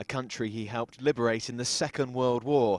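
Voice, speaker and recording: A man talks at a moderate pace with medium pitch and an ordinary speaking voice. The recording is very clean, with a silent background. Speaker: news reporter. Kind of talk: TV news report voice-over.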